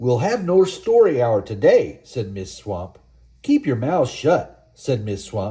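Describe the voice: Simple, plain reading aloud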